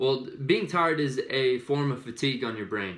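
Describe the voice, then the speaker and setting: A man's fairly quick speech, with ordinary pitch variation, comes through audible room echo and noticeable background noise. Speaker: fitness vlogger. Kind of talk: casual tutorial. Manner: fast.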